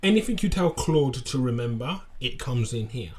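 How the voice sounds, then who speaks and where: Somewhat breathy and fairly high in pitch, a man talks at a moderate pace with lively intonation. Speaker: tech tutorial creator. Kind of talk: screen-share tutorial. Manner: halting, self-correcting.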